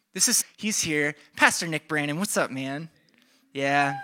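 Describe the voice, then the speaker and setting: Animated in tone, a man speaks with lively intonation and a high pitch. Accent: American. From Iowa, Des Moines area. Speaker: pastor. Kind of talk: sermon.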